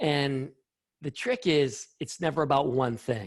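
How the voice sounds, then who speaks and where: A somewhat breathy male voice at a fairly slow pace, with ordinary pitch variation. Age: 60s. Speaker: scientist. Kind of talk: interview.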